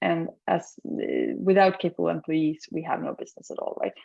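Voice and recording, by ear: Speaking fairly quickly in a low register, a woman has a dark, mellow tone with a slightly husky edge, vocal fry, and very wide pitch swings.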